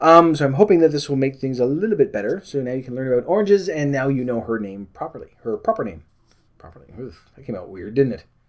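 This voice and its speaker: Very fast and lively, a man speaks with a fairly high pitch. His loudness swings widely. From Canada. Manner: rambling, lots of fillers.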